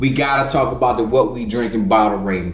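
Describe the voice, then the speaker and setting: An animated voice with very wide pitch swings sounds over background music, with audible room echo. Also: man. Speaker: whiskey review podcast host. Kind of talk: casual tasting review chat.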